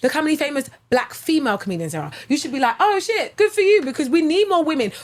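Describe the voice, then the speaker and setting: Speaking at a very fast pace in a British accent, a woman has a high pitch, very wide pitch swings and an animated tone. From England. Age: 30s. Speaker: stand-up comedian. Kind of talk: casual chat.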